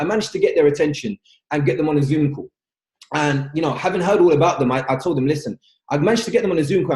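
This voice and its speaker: In a London accent, the speaker talks at a very fast pace with an animated, somewhat breathy tone and ordinary pitch variation. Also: man. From London, England. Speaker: network marketing leader. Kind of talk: webinar training talk. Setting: video call webinar.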